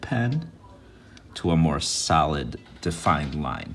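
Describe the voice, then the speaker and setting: A man with a very deep, low voice, recorded with noticeable background noise and audible room echo. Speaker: art teacher. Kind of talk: tutorial.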